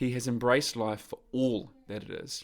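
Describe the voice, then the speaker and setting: In a New Zealand accent, a man speaks at medium pitch. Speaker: podcast host, men's coach. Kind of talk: podcast interview. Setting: call with remote guest.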